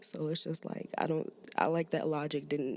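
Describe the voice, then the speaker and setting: This woman talks at a fairly slow pace with a slight Maryland accent. Her pitch is fairly low. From Maryland, US (DC area). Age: 20s. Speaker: musician, rapper and poet. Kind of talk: casual podcast interview. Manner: halting, many fillers.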